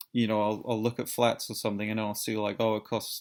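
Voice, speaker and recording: A fairly low-pitched man's voice with a British accent. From Britain. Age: 30s. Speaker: vlogger. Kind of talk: personal vlog monologue. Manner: halting, many repetitions and fillers.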